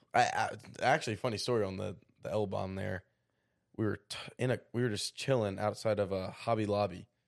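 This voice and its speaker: A man with an ordinary speaking voice talks at a fairly quick pace and fairly low pitch. His intonation is fairly even, and the background is quiet. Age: 20s. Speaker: podcast co-host. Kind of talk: casual chat.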